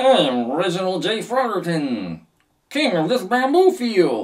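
The put-on character voice moves at a fairly slow pace and holds a middle pitch. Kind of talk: theatrical. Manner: silly, grand.

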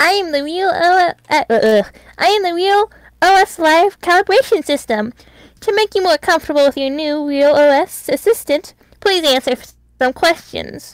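In a robotic, put-on character voice, the high-pitched speaker moves at a moderate pace with long, frequent pauses. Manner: eerily cheerful.

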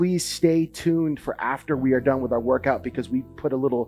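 Faint music plays in the background. A man talks at a fairly quick pace. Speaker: hockey fitness trainer. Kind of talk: tutorial. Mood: solemn memorial dedication. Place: garage. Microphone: headset.

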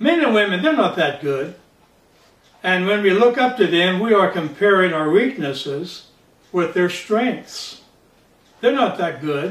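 A man speaks at a fairly slow pace with long, frequent pauses, and audible room echo surrounds his voice. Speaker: pastor. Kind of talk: sermon. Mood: calm, earnest. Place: home room.

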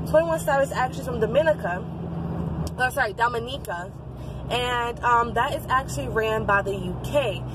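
The sound is dry with no echo as a woman speaks at a moderate pace over noticeable background noise. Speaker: vlogger. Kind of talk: casual vlog chat. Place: car. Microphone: phone near.

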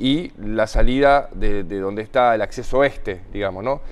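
Medium pitch in a male voice, with ordinary variation in pitch. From Argentina, Buenos Aires province. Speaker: mayor. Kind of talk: TV interview. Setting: studio. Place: studio. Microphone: lapel.

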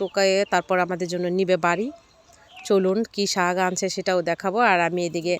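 A woman at a medium pitch with monotone, flat intonation. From Bangladesh, Shariatpur. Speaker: cooking vlogger. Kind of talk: vlog narration. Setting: outdoors.

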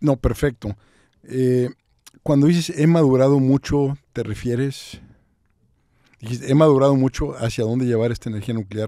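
Speaking in a dark, mellow tone at a moderate pace, a man leaves long, frequent pauses, with a dry sound with no echo and a quiet background. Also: medium pitch for a man, fairly even intonation. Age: 60s. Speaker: podcast host and business consultant; podcast host. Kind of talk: interview. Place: studio. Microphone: studio mic.

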